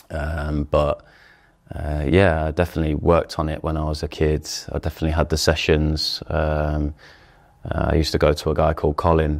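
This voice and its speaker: A man with a very deep, low pitch talks at a fairly quick pace in a monotone, flat intonation. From England. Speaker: professional footballer. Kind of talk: interview. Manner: hesitant, many fillers.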